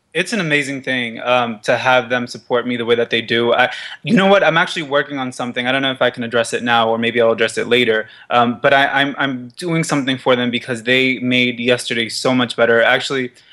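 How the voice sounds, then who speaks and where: A man speaks at a very fast pace with fairly even intonation. Noticeable background noise runs underneath. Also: medium pitch for a man, hardly any pauses. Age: 20s. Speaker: fashion model. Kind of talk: casual interview. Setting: studio.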